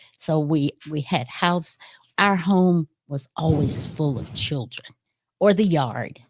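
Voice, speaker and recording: Very deep and low in pitch, a woman with an American accent speaks very slowly with ordinary pitch variation, the sound dry and close with no echo. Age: 70s. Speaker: retired educator. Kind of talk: interview conversation.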